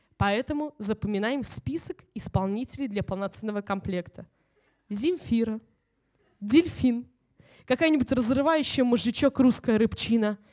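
The dark, mellow voice keeps a moderate pace with long, frequent pauses and ordinary pitch variation, recorded with a dry, close sound and no echo. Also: woman, fairly high pitch for a woman. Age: young. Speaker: humor writer. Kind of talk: reading aloud. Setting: stage with audience.

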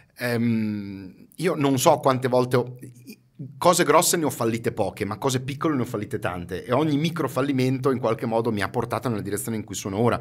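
The background stays quiet as a man talks. His pace is fairly quick and his pitch varies in an ordinary way. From Ferrara, Emilia-Romagna, northern Italy; Emilia-Romagna, Italy. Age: 50s. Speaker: marketing expert and trainer; podcast guest, marketing trainer. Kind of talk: casual interview chat. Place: studio. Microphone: studio mic.

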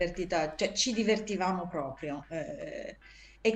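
Lively intonation marks this woman's very slow speech. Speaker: actress and voice actress. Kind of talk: interview answer. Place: home room. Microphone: video call.

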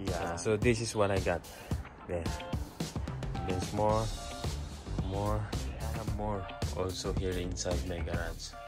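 A man talks at a fairly slow pace, leaving long, frequent pauses. Clear music plays in the background. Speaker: DIY vlogger. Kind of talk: casual vlog chat. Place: garden. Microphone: phone near.

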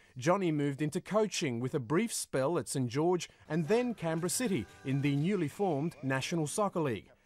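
With an unremarkable speaking voice, a man talks at a fairly high pitch and a moderate pace with lively intonation, in a very clean recording with a silent background. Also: hardly any pauses. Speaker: documentary narrator. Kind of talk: documentary narration, scripted and solemn. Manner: measured, formal, steady.

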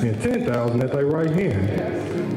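Fairly slow male speech, audible room echo, and noticeable background noise. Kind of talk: scripture reading and exhortation. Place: hall. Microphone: handheld.

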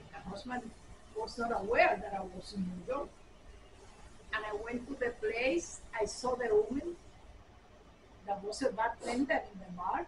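A woman with a Puerto Rican accent at a fairly high pitch, lively in intonation and moderate in pace, with big swings in loudness, long and frequent pauses, and noticeable background noise. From Puerto Rico. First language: Spanish. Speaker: former state assemblywoman; interviewee. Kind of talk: oral history interview answer. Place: home room.

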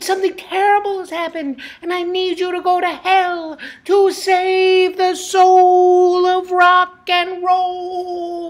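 In a cartoonish character voice, the speaker uses an extremely high pitch with monotone, flat intonation at a fairly slow pace. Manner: apologetic, urgent.

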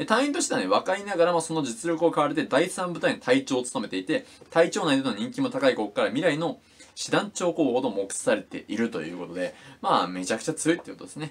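Very fast and with very wide pitch swings, a man speaks in a fairly high voice. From Japan. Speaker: YouTuber reviewing manga. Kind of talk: casual monologue review. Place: home room. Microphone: phone near.

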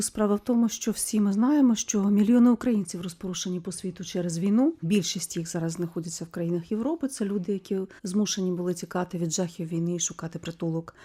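A woman talks at a fairly quick pace with hardly any pauses. Her dark, mellow, somewhat breathy voice sits at a medium pitch with ordinary pitch variation. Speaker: radio host. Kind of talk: radio interview.

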